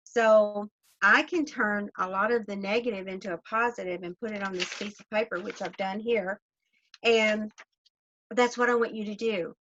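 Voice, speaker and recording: A woman speaks with a Southern US accent. The sound is dry and close, with no echo. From US South. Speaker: network marketing leader. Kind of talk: motivational talk.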